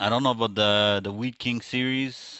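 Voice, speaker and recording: This man speaks at a moderate pace. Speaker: esports commentator. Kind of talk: live game commentary. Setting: livestream. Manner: quiet.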